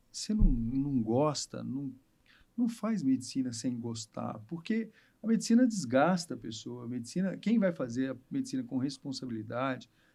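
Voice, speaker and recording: The voice has a dark, mellow tone. Its pitch swings very widely. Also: man, medium pitch for a man, moderate pace. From Rio de Janeiro state interior (Barra Mansa). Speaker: obstetrician. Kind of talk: casual chat.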